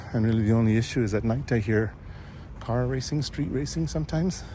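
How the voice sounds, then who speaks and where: A soft-spoken man talks at a moderate pace, somewhat breathy, with a dark, mellow tone. His pitch varies in an ordinary way, and audible room echo surrounds him. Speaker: vlogger. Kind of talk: casual walking vlog narration. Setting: outdoors, walking. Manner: hesitant, with fillers.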